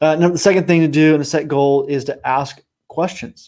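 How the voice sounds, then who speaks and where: On a very clean recording with a silent background, a man with an ordinary speaking voice talks at a fairly high pitch with fairly even intonation. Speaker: team coach. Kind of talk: motivational talk.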